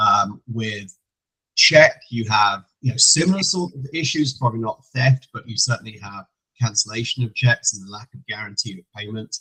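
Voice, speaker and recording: With an English accent, a man speaks at a moderate pace and medium pitch, with ordinary pitch variation, a bright, sharp tone, big swings in loudness, and a dry, close sound with no echo. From England. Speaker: payments compliance executive. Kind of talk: educational webinar presentation. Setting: online call.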